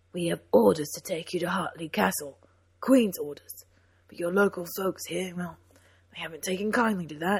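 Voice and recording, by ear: A natural read-aloud voice with ordinary pitch variation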